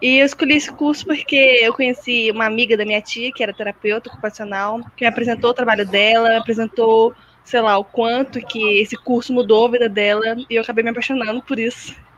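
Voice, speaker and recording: Talking at a very fast pace with fairly even intonation, a woman with a fairly high pitch is heard over noticeable background noise. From Minas Gerais, Brazil. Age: 20s. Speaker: occupational therapy student. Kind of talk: casual chat. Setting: video call.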